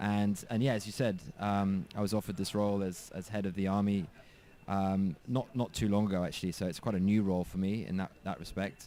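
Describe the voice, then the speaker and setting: Talking at a fairly quick pace with an English accent, a man uses a fairly low pitch, a dark, mellow tone and fairly even intonation. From England. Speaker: cricket coach. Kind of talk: interview on live cricket commentary. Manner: halting, many fillers.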